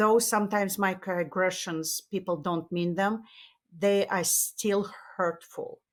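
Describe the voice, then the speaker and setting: A woman talks at a very slow pace, the recording very clean with a silent background. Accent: Russian. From Russia. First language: Russian. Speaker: tech marketing executive and author. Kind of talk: interview. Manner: halting, with many fillers.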